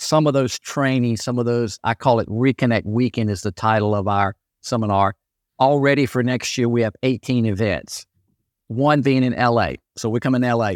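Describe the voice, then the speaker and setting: In a plain, everyday voice, a man speaks at a moderate pace with medium pitch and fairly even intonation. The recording is very clean with a silent background, dry and close with no echo. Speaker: retired senior pickleball champion. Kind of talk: interview.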